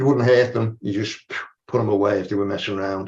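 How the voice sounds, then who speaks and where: In a strong Scouse accent, a man speaks in a somewhat breathy voice with ordinary pitch variation. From Liverpool, England. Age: 80s+. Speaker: martial arts and qigong practitioner. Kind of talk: panel discussion. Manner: halting.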